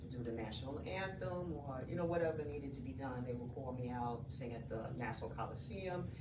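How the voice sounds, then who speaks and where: A woman with a New York accent and a very deep, low voice talks quickly with lively intonation and hardly any pauses over noticeable background noise. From New York, Brooklyn. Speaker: singer, retired police detective. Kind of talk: radio interview. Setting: radio studio.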